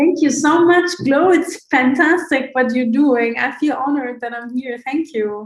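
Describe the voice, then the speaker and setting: Her pitch sits high and varies in an ordinary way. The woman speaks at a fairly slow pace. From Egypt. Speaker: coach asking a question. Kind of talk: audience question.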